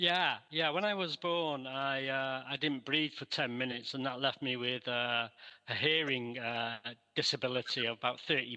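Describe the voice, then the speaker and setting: A man with a Mancunian accent, medium in pitch with ordinary pitch variation, a bright, sharp tone, and a moderate pace. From Manchester, northern England. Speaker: researcher. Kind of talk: interview. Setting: video call.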